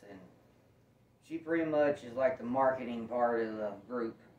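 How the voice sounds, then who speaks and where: Moderate pace with audible room echo. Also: man. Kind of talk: casual vlog chat. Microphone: camera far.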